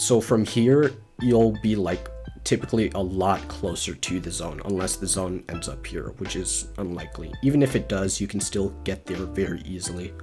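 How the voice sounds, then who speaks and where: Music plays in the background as a man with a very deep, low pitch speaks at a moderate pace with very wide pitch swings. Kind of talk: casual gaming tutorial narration.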